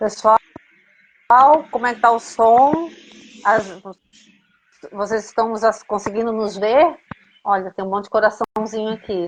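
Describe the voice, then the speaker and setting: A woman speaks at a fairly high pitch with ordinary pitch variation and a fairly slow pace. Her pauses are long and frequent. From Brazil, Florianópolis. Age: 50s. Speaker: psychoanalyst in training, live host. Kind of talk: casual chat.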